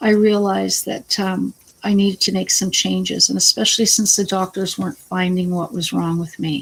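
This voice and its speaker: Hardly pausing at all, a woman keeps up a moderate pace. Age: 50s. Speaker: vlogger with cancer. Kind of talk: casual vlog talk. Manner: halting.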